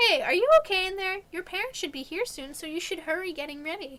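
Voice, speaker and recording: A woman puts on a squeaky character voice at an extremely high pitch. She talks very fast, with very wide pitch swings. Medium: game stream. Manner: warm, brisk.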